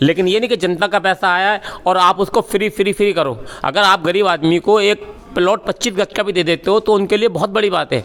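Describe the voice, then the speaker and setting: A high-pitched man speaks over noticeable background noise. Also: moderate pace, very even loudness. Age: 60s. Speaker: local voter, party supporter. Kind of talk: street interview. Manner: animated.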